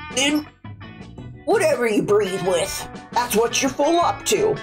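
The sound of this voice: In a gruff, put-on character voice, the speaker goes at a fairly slow pace over clear music in the background.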